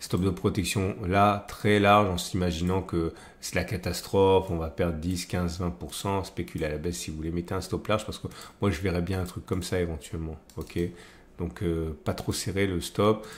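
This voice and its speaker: The speaker is a man with a very deep, low pitch. His intonation stays fairly even at a moderate pace. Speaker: trading analyst YouTuber. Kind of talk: market analysis tutorial. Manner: hesitant, many fillers.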